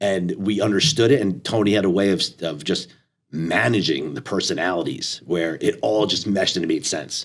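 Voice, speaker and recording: A man with an ordinary speaking voice at a fairly low pitch and fairly quick pace, with ordinary pitch variation. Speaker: athletic director. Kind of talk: casual chat.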